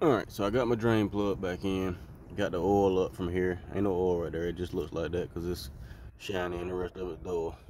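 A very deep, low male voice with a dark, mellow tone at a fairly quick pace, dry without echo, over light background noise. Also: fairly even intonation. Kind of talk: tutorial. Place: garden. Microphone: phone near.

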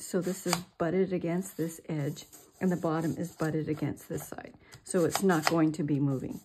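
Light noise runs in the background as a woman talks. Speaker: crafter demonstrating. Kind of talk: tutorial.

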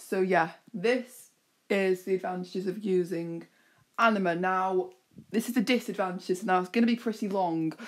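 A woman with a British accent speaks at a moderate pace on a very clean recording with a silent background. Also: medium pitch for a woman, fairly even intonation. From UK. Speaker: YouTuber. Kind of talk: casual vlog commentary.

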